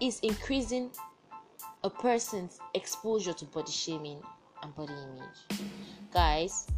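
A woman at a medium pitch and fairly slow pace, with very wide pitch swings, big swings in loudness, long, frequent pauses and music in the background. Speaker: podcast host. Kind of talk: casual, conversational.

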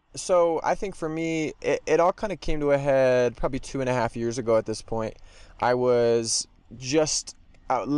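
A man with a fairly high pitch talks in a normal speaking voice with ordinary pitch variation. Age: 20s. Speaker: graduate student. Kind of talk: interview.

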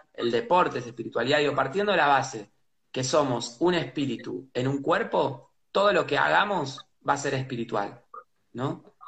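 Speaking with a Rioplatense accent, a man uses a fairly high pitch at a moderate pace. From Buenos Aires, Argentina. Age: 30s. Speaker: pianist and composer. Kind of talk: casual interview. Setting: live video stream. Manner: halting, repeats words.

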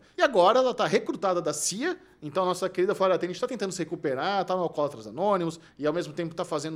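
A man's high-pitched voice rises and falls with lively intonation. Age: 40s. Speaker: podcast host. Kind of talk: casual chat.

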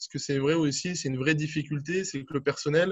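A man speaks with a fairly high pitch and fairly even intonation. His voice is somewhat breathy. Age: 40s. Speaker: aquatic centre director. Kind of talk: interview. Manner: hesitant, many fillers.

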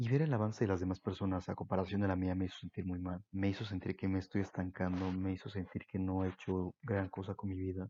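A man with a very deep, low pitch and a dark, mellow tone at a fairly quick pace, over a quiet background with a dry, close sound and no echo. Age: 20s. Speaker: podcaster, university student. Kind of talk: solo reflective monologue.

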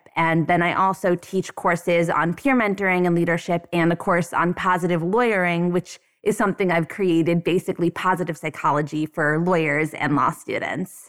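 At a moderate pace with hardly any pauses, a woman with a plain, everyday voice speaks in a fairly low pitch, with fairly even intonation and very even loudness, in dry, close sound with no echo. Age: 30s. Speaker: law school dean and professor. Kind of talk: interview.

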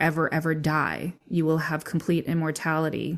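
A woman's fairly low voice, an unremarkable speaking voice, at a moderate pace on a very clean recording with a silent background. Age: 30s. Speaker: massage therapist and death doula. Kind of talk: casual interview.

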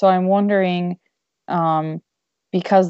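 A woman's medium-pitched, a normal speaking voice in an American accent, at a fairly slow pace with fairly even intonation. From Michigan. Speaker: podcast host. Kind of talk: casual interview.

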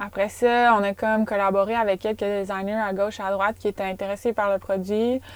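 A woman's medium-pitched voice at a moderate pace, with fairly even intonation and a Quebec accent. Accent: Québécois French. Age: 20s. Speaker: professional mountain bike athlete. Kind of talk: casual interview chat. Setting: in a parked van.

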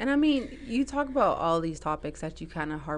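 A woman is speaking here. Her pace is fairly quick. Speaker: podcast host. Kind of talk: casual interview.

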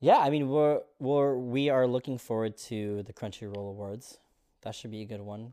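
A man speaks in a normal speaking voice at a moderate pace and medium pitch, his intonation fairly even. His loudness swings widely, on a very clean recording with a silent background. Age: 30s. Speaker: podcast host. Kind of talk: casual chat.

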